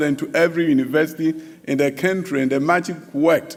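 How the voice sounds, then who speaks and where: A man with a Ghanaian accent talks at a fairly quick pace with a fairly high pitch and ordinary pitch variation. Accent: Ghanaian accent kept despite decades in US. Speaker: education minister. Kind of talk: conference speech.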